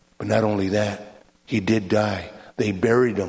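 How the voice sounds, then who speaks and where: A man's fairly low, monotone, flat voice at a fairly slow pace, with audible room echo. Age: 60s. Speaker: evangelist. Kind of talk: sermon.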